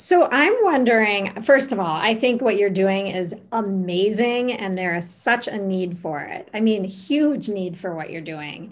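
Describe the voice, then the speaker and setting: A woman's plain, everyday voice at medium pitch, fairly slow yet with hardly any pauses, lively intonation and big swings in loudness. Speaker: podcast co-host. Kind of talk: podcast interview conversation.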